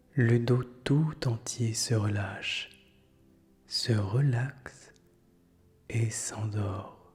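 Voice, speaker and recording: With music in the background, a man speaks in a soothing tone with fairly even intonation. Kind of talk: guided meditation. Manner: whispered, slow, soothing.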